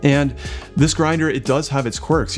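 Faint background music can be heard. A man's voice comes through over it. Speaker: coffee equipment reviewer. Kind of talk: product review talk to camera. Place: kitchen.

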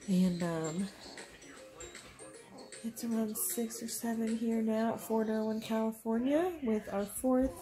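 A woman at a very slow pace with ordinary pitch variation and clear music in the background. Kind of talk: casual vlog chat. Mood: happy, laughing. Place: home room. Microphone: phone near.

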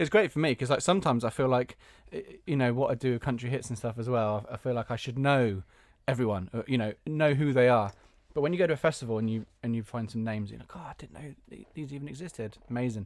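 A man's medium-pitched voice at a very fast pace, with ordinary pitch variation, big swings in loudness, a dry sound with no echo and a quiet background. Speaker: podcast and radio host; podcast, radio host. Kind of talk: casual interview chat. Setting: home garage studio, video call. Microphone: video call.

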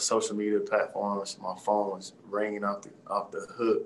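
Here a man is speaking. His pace is moderate. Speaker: professional football player. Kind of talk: interview. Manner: halting. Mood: happy, reflective. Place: office. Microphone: video call.

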